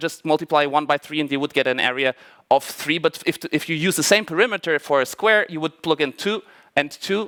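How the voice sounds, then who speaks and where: Recorded dry and close with no echo, a man with a non-native accent talks in a fairly high pitch, his tone bright and sharp and his pitch variation ordinary. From Portugal and Germany. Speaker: mathematician giving a talk. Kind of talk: conference talk. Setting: stage with audience. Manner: halting, many fillers and restarts.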